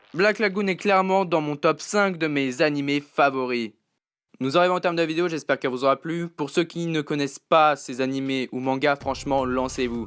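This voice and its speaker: Delivered at a moderate pace with ordinary pitch variation, an ordinary speaking voice comes through a very clean recording with a silent background. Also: man, fairly high pitch for a man. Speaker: YouTube anime reviewer. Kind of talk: anime review voice-over.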